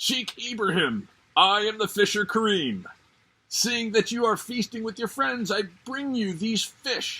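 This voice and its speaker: A man's put-on character voice, high-pitched, at a fairly slow pace, with ordinary pitch variation. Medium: read story. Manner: regal, good-humored.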